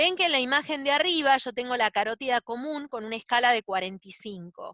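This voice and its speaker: A woman's high voice with lively intonation and a bright, sharp tone. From Argentina. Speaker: doctor teaching ultrasound. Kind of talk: lecture.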